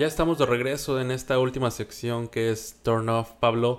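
A man talks in a monotone with flat intonation. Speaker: podcast co-host. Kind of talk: casual podcast chat. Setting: home studio. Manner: hesitant with many fillers. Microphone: new recording equipment.

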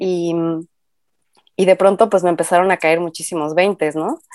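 Recorded with a dry, close sound and no echo, a woman speaks in a medium pitch with a dark, mellow tone. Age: 30s. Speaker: graphic designer and mother. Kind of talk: casual chat.

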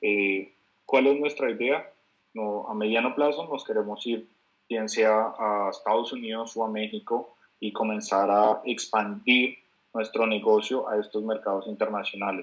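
A man with a plain, everyday voice speaks at a fairly slow pace, his medium pitch carried in fairly even intonation. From Bogotá, Colombia. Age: 20s. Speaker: entrepreneur. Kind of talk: interview.

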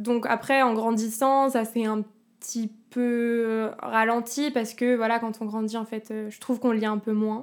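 A woman speaks in a normal speaking voice at a fairly high pitch. She keeps a fairly slow pace. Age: 20s. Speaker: singer and actress. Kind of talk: casual chat.

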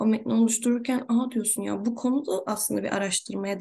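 Somewhat breathy and fairly high in pitch, a woman with a dark, mellow tone talks at a fairly quick pace. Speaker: podcast host. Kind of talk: casual interview chat.

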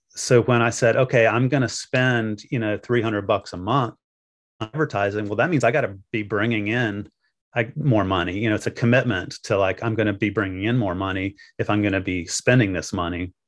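A man with an American accent talks at a fairly quick pace in a fairly low pitch with ordinary pitch variation, using an ordinary speaking voice. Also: quiet background. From US South, the Carolinas. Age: 50s. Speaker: wedding officiant and business owner. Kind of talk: interview.

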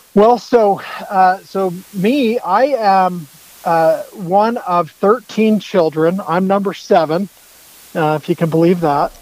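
A man's high voice with an American accent, very slow pace, ordinary pitch variation and noticeable background noise. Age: 40s. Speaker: bowhunter and fitness enthusiast. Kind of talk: casual interview chat.

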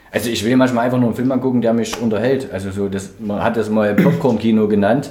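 The man speaks at a very fast pace with a medium pitch and ordinary pitch variation, with audible room echo and noticeable background noise around him. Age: 30s. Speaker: podcast co-host. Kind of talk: casual chat.

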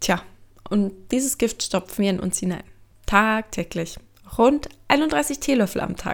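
A woman speaks at a fairly high pitch with lively intonation and an animated tone, at a fairly slow pace. She takes long, frequent pauses, and the recording is very clean with a silent background. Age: 20s. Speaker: student doing a self-experiment audio diary. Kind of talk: audio diary narration.

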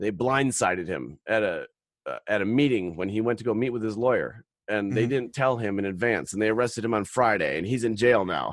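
Animated and fairly quick, a man speaks with an American accent at medium pitch and ordinary pitch variation. The recording is very clean, with a silent background. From Wisconsin, US Midwest. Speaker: political activist, podcast guest. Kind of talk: casual interview chat.

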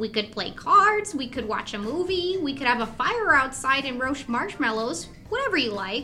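A female-sounding voice does a put-on character at a high pitch and moderate pace, with clear background noise. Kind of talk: horror podcast audio drama. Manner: warm, cheerful, a little mysterious.

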